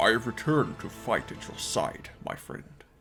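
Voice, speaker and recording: A man speaks at a moderate pace in a put-on character voice. Faint music plays in the background. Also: medium pitch for a man. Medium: read story.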